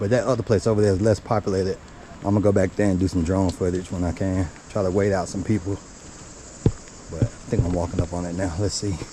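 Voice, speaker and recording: Very fast speech broken by long, frequent pauses, with fairly even intonation over noticeable background noise. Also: man, very deep, low pitch for a man. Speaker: nature vlogger. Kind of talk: casual vlog narration. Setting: outdoors on hiking trail. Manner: quiet, near whisper.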